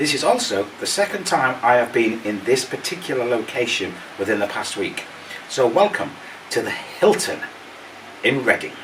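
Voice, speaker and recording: Amid noticeable background noise, a man with a medium pitch speaks at a moderate pace, swinging very widely in pitch and leaving long, frequent pauses. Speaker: travel vlogger. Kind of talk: hotel review vlog.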